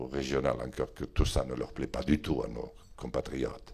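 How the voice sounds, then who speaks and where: A man talks at a moderate pace. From Béarn, southwest France. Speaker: politician, member of parliament. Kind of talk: interview answer. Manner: eloquent, voluble.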